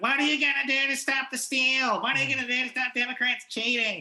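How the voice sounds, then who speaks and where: The speaker uses a put-on character voice, high and monotone with flat intonation, at a fairly quick pace. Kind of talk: political, indignant.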